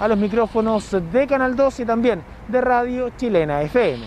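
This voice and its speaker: A man is heard in a dry sound with no echo and light background noise. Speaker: news reporter. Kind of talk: news report to camera. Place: street. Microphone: handheld.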